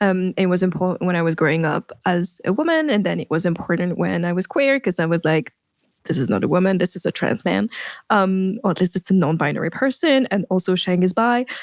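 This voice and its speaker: With a French accent, a woman speaks at a medium pitch with lively intonation and very even loudness, the sound dry and close with no echo. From France. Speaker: writer and performer. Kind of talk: interview. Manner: halting, many fillers.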